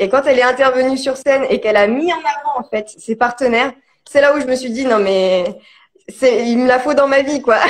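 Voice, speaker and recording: With ordinary pitch variation, a woman's voice sits high. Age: 30s. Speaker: digital marketing consultant hosting a live. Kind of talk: casual live-stream interview. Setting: social media live video. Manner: hesitant, many fillers.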